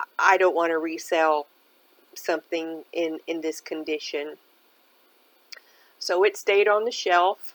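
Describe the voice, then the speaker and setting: Leaving long, frequent pauses, a woman speaks at a fairly slow pace with fairly even intonation. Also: fairly low pitch for a woman. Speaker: thrift shopper and reseller vlogger. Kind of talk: casual shop-with-me narration. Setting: thrift store.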